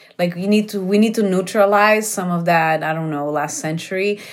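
A woman's intonation stays fairly even. Audible room echo surrounds her voice. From Brazil. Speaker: company CEO and entrepreneur. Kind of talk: interview conversation. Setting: remote recording from her garage.

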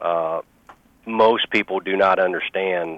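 This man has a very deep, low pitch and an American accent. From Missouri. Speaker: business founder and CEO. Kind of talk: interview.

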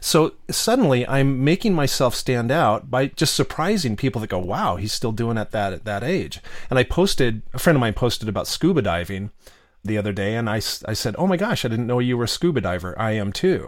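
This is a plain, everyday voice with lively intonation. It moves at a fairly quick pace. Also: man, medium pitch for a man. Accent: American. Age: 50s. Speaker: novelist and former podcast host. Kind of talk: casual interview chat.

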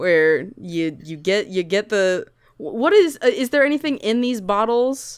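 The woman's tone is animated and her intonation lively. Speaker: podcast co-host. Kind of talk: casual comedic chat, improv banter. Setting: video call. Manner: animated, jokey.

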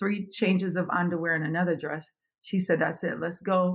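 A somewhat breathy woman speaks at a fairly quick pace. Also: quiet background. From Jamaica, Kingston. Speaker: business consultant. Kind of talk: interview, life story and advice.

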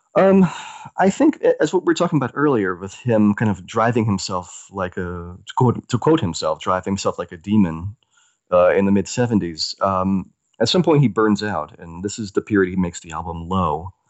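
A man's fairly low, plain, everyday voice with an American accent, lively intonation and a moderate pace. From US South. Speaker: music writer. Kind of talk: interview.

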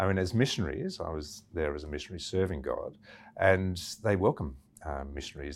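A man in an Australian accent at a moderate pace, on a very clean recording with a silent background. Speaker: missionary doctor. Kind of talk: interview.

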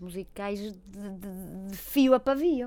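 A woman speaks in a voice with a dark, mellow tone. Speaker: clinical psychologist. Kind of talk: casual chat. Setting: studio.

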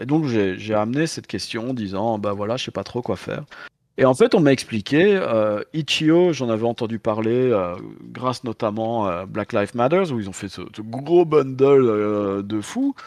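This man talks at a fairly slow pace in a medium-pitched voice with lively intonation. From Belgium. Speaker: tabletop game designer. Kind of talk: casual interview chat. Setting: video call from London. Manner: hesitant, repeating words.

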